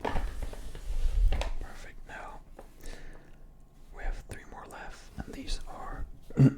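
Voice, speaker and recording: Whispering at a very slow pace with long, frequent pauses, a man's volume swings widely over noticeable background noise. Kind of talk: ASMR role-play, gym bro supplement shop advice. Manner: casual, explanatory, hesitant with filler words.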